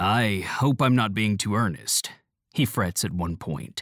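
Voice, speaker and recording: A man with an ordinary speaking voice talks at a fairly low pitch and fairly slow pace. The recording is very clean, with a silent background. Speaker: audio reader of articles. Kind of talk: reading aloud article.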